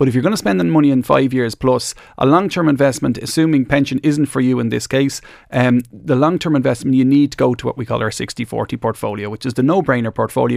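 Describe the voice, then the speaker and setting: A man with an Irish accent talks at a very fast pace at a medium pitch with ordinary pitch variation, the sound dry and close with no echo. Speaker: financial advisor. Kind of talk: radio phone-in advice.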